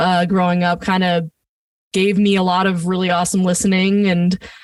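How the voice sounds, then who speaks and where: The recording is very clean, with a silent background. An American accent comes through at a moderate pace. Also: woman. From New Jersey, US (Point Pleasant, Jersey Shore). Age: 20s. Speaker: singer-songwriter. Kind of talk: casual interview chat. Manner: casual, filler-heavy.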